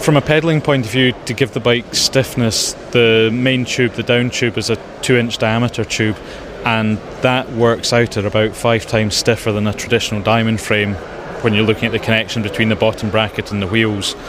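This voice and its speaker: Fairly quick speech from a man at medium pitch, with fairly even intonation and noticeable background noise. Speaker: bicycle inventor. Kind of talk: recorded interview.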